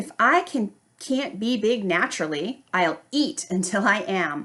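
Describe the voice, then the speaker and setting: A woman puts on a character voice at a medium pitch with very wide pitch swings. She speaks at a fairly slow pace. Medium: read story.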